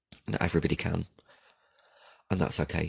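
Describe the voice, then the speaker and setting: A man talks at a fairly quick pace. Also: dry, close sound with no echo. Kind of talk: casual podcast talk. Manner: rambling, informal.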